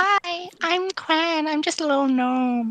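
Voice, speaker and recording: A put-on character voice pitched high. It moves at a fairly slow pace. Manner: playful, put on.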